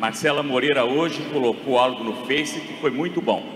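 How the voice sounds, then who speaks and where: Noticeable background noise under a man's fairly high-pitched speech, moderate in pace, with ordinary pitch variation. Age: 60s. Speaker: mayoral candidate. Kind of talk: political debate.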